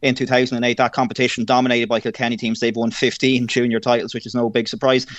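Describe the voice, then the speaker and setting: A man with an Irish accent at medium pitch, talking at a very fast pace over a quiet background. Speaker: sports broadcaster. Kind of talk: radio interview.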